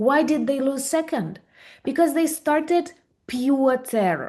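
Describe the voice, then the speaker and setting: A woman speaks in a Ukrainian accent at a high pitch. Her pace is fairly slow against a quiet background. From Ukraine. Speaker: video blogger. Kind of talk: interview.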